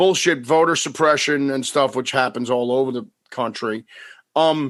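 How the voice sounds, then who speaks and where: Against a quiet background, a man with an unremarkable speaking voice talks at a moderate pace, at a medium pitch with ordinary pitch variation. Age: 50s. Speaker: podcast host. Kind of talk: casual chat.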